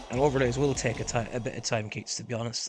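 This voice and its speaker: This man's intonation is lively, with noticeable background noise behind his voice. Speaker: gaming streamer. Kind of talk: live stream gaming chat.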